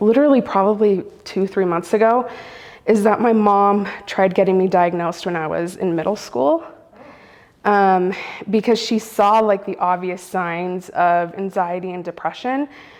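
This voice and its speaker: Medium pitch and a moderate pace from a woman, a plain, everyday voice with ordinary pitch variation. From US, Central American family. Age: 30s. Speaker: storyteller sharing lived experience. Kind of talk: personal testimony interview. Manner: casual, frequent fillers.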